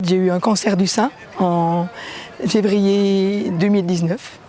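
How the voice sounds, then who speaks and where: Noticeable background noise behind a woman at medium pitch with fairly even intonation. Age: 60s. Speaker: cancer survivor, mountain trek participant. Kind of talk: documentary interview testimony. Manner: halting, with hesitations.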